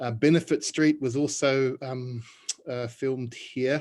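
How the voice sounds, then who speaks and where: In an Australian accent, a man speaks at a moderate pace with a medium pitch and monotone, flat intonation. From Australia (Melbourne). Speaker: urban community worker and minister. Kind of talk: panel discussion self-introduction. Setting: video call.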